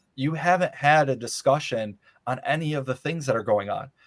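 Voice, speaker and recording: A man with an American accent and an ordinary speaking voice talks at a moderate pace with ordinary pitch variation. The sound is dry and close with no echo, in a very clean recording with a silent background. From Michigan (Muskegon). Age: 30s. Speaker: congressional candidate. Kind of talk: interview.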